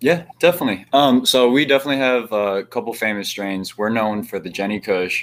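A man with a plain, everyday voice talks at a fairly quick pace with hardly any pauses. His medium pitch carries lively intonation on a very clean recording with a silent background. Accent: American. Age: 20s. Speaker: cannabis cultivator. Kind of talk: casual chat.

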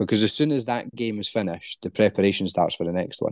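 Talking at a very fast pace, a man with a Scottish accent uses a fairly low pitch. The sound is dry and close with no echo, and the background is quiet. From Scotland. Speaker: football analyst and recruitment specialist. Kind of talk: interview, casual chat.

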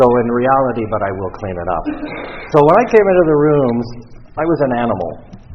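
Against noticeable background noise, a man with a Canadian accent speaks fairly quickly, his pitch swinging very widely, with long, frequent pauses. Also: medium pitch for a man. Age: 60s. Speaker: recovery speaker. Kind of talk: testimony. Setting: stage with audience.

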